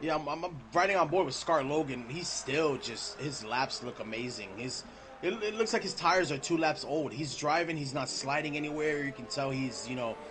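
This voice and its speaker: A man speaks at a moderate pace with a fairly high pitch and an animated tone, hardly pausing at all. Noticeable background noise runs beneath his voice. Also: ordinary pitch variation. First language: not English. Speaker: esports race commentator. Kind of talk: live commentary.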